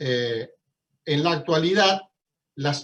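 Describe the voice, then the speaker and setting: The speaker is a man with a fairly high voice. He goes at a very slow pace with ordinary pitch variation. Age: 60s. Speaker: law professor. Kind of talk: lecture.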